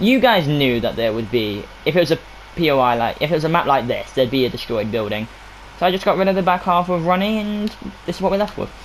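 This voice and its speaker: Noticeable background noise sits under this recording. A man talks at a high pitch and a very fast pace, with very wide pitch swings. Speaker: gaming youtuber. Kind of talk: game map showcase walkthrough. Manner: mumbling.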